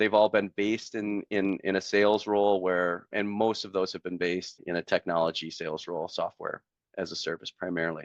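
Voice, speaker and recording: A man with a strong Wisconsin accent talks at a fairly quick pace with hardly any pauses, his fairly low voice monotone and flat, the sound dry and close with no echo. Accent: thick Wisconsin. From central Wisconsin. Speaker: software salesperson, former teacher. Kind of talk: interview, casual storytelling.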